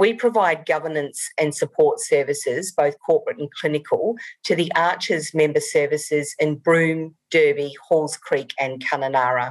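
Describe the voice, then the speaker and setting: A woman with a slight New Zealand accent, at a moderate pace with hardly any pauses. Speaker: rural doctor and medical director. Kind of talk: conference presentation.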